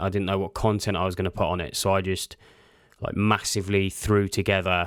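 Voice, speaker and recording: Rattling along very fast, this man's voice sits fairly low. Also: very clean recording, silent background. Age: 30s. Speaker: podcast host and apparel designer. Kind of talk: casual solo monologue. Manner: monotone.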